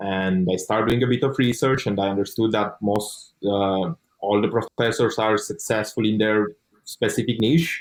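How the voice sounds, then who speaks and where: A moderate pace with ordinary pitch variation, in a Romanian accent. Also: man. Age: 20s. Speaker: online course student. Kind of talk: interview testimony.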